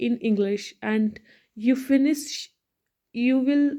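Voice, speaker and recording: With an Indian accent, a woman speaks at a very slow pace in a high pitch, her dark, mellow tone carried by fairly even intonation. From India, Hindi-speaking. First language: Hindi. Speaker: English learning vlogger. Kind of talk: motivational talk to camera. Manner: halting, many fillers and restarts.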